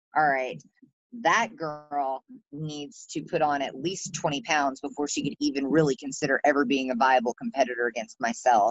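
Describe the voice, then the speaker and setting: This woman speaks at a moderate pace in a very deep, low voice with a Southern US accent. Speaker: pro wrestler. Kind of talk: wrestling promo, brash and swaggering, then relaxed interview answers. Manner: animated, boastful, cocky, playful.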